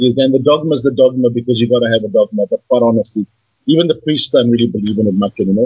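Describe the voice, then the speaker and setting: A man talks at a very fast pace, his voice somewhat breathy. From South Africa, Johannesburg. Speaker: guest sharing his life story. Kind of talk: casual interview. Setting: video call. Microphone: poor Skype sound quality.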